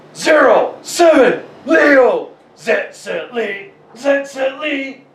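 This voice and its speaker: A man puts on a character voice at an extremely high pitch. He talks at a very slow pace, with a slight echo. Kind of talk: announcer-like, gadget voice.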